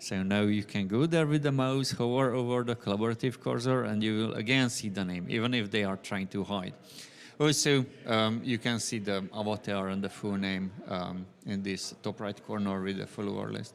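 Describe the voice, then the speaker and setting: With a Hungarian accent, the speaker keeps a moderate pace and ordinary pitch variation. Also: man, fairly low pitch for a man. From Hungary. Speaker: software developer. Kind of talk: conference talk. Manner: frequent fillers, hesitant.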